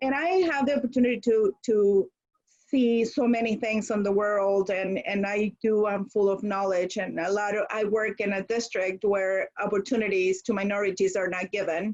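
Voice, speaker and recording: A woman with a Spanish accent talks at a moderate pace and medium pitch. Her intonation stays fairly even. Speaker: school administrator. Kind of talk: audience comment in online workshop. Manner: direct.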